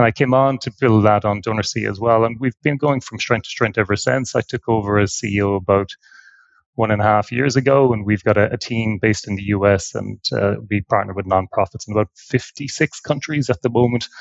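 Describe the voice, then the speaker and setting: A man speaks with an Irish accent at a fairly quick pace. His pitch is fairly low, with ordinary variation. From Ireland. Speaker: nonprofit tech executive. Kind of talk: podcast interview. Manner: halting, many fillers and repeats.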